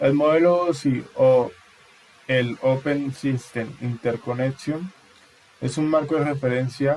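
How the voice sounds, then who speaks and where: Over noticeable background noise, a man speaks very slowly at a fairly high pitch with fairly even intonation. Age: 20s. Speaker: university student. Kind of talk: class presentation. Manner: halting.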